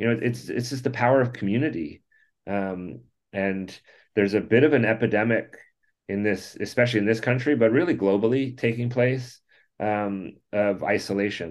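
A man speaks at a medium pitch with ordinary pitch variation. His pace is fairly quick, broken by long, frequent pauses. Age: 50s. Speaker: playground nonprofit co-founder. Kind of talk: interview. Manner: halting, many fillers.

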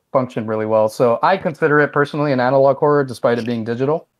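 A man speaks at a medium pitch with ordinary pitch variation. The background is quiet. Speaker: game developer guest. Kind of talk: casual interview.

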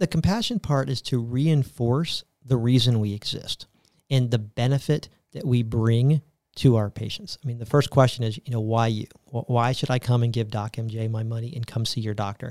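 Recorded very cleanly with a silent background and a dry, close sound with no echo, a man with an American accent and a plain, everyday voice talks at a moderate pace and medium pitch with ordinary pitch variation. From US South, Tampa, Florida. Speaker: healthcare company executive. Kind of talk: interview.

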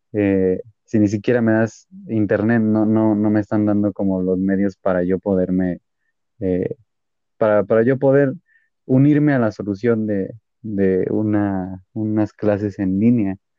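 Fairly low in pitch, a man speaks at a fairly slow pace with fairly even intonation and very even loudness. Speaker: podcast co-host. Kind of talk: casual chat. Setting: online call.

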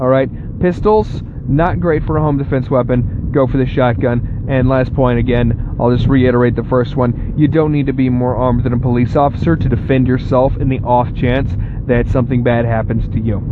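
Over noticeable background noise, a man with an American accent speaks with very even loudness and fairly even intonation. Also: medium pitch for a man, moderate pace. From Texas. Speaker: podcast host. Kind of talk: opinion rant monologue.

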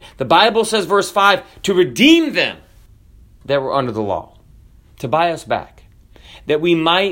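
This man speaks in an animated tone with lively intonation. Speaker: pastor. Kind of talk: sermon. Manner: loud.

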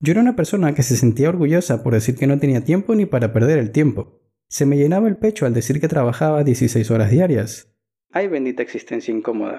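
A man talks at a fairly quick pace in a fairly high, somewhat breathy voice. His tone is dark and mellow. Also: lively intonation, very even loudness. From Ecuador. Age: 20s. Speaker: blogger. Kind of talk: reading aloud.

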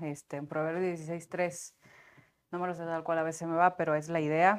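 This is an unremarkable speaking voice from a woman, fairly low in pitch and fairly slow. The recording is very clean, with a silent background. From Sinaloa, Mexico. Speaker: TV host and performer. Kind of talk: casual chat. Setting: studio.

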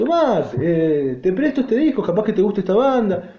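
A man with an Argentine accent speaks at a fairly quick pace with lively intonation. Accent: Argentine Spanish (Rioplatense). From Argentina. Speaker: podcaster, rock music commentator. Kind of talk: solo podcast monologue.

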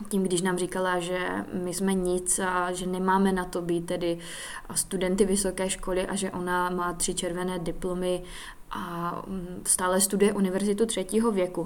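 Over audible room echo, a woman at a medium pitch speaks at a moderate pace with monotone, flat intonation. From Czech Republic, Silesia (Hlučín, between Opava and Ostrava). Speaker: podcast host. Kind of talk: personal monologue.

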